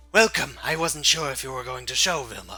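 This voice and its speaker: Putting on a raspy character voice, a man talks at a fairly quick pace with big swings in loudness as music plays in the background. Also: medium pitch for a man, ordinary pitch variation. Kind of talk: fancy, refined. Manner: playing the character's voice.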